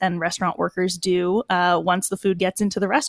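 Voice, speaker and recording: A woman with a normal speaking voice talks in a medium pitch with an American accent. The recording is very clean, dry and close, with no echo and a silent background. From Boston, US. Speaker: chef and restaurant entrepreneur. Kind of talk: interview.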